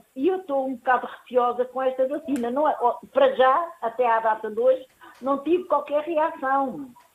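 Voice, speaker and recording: Here a woman talks with a high pitch. Her pace is moderate. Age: 70s. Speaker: caller. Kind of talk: phone-in question. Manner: halting.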